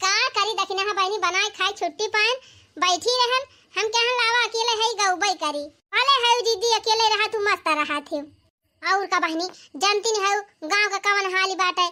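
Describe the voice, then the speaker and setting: A squeaky, cartoonish character voice from a woman, extremely high in pitch. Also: moderate pace, ordinary pitch variation. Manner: folksy, talkative.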